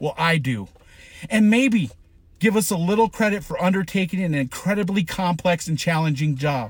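With an American accent, a man speaks at a moderate pace. His pitch is high and his intonation lively. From Colorado, Boulder. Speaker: sheriff's commander. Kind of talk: emotional monologue.

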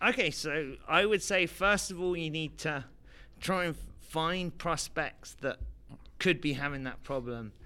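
A man with an English accent speaks at a fairly slow pace in a fairly high pitch, his tone bright and sharp, on a very clean recording with a silent background. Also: ordinary pitch variation. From London, England. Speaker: startup investor. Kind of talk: interview. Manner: hesitant, many fillers.

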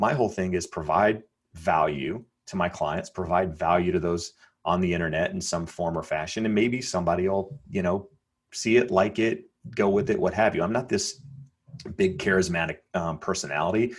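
Speech comes at a moderate pace, its pitch varying in an ordinary way. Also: man, very deep, low pitch for a man. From North Carolina. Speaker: real estate agent. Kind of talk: casual interview. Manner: halting, many fillers and repeats.

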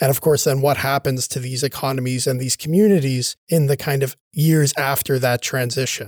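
A man talks with hardly any pauses. He has a Cape Breton accent. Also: medium pitch for a man, fairly even intonation, moderate pace, dry, close sound with no echo. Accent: Cape Breton Canadian English. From Cape Breton, Nova Scotia (Sydney). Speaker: history professor. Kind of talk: interview. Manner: conversational, frequent fillers like right and you know.

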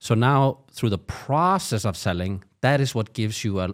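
A man with a normal speaking voice talks at a moderate pace in a fairly low pitch with lively intonation. The recording is very clean, with a silent background. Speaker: co-host. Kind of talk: casual conversation. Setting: live stream.

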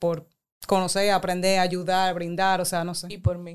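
With flat, monotone intonation and a medium pitch, a woman speaks at a fairly slow pace on a very clean recording with a silent background. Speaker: guest with background in international development and politics. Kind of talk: casual chat.

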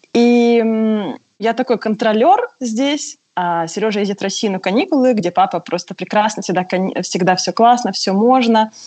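A woman speaks in an ordinary speaking voice, the sound dry and close with no echo. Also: fairly high pitch for a woman, ordinary pitch variation, moderate pace. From southern Russia, Pyatigorsk. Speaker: caller, mother. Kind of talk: call-in question.

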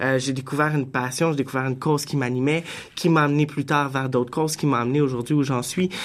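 In a normal speaking voice, a man with fairly high pitch talks at a fairly quick pace with fairly even intonation. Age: young. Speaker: director of a student association. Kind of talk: radio panel discussion. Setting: studio.

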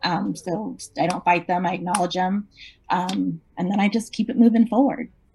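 A woman's somewhat breathy voice at a medium pitch, moderate in pace with fairly even intonation. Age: 40s. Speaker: real estate agent. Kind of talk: interview.

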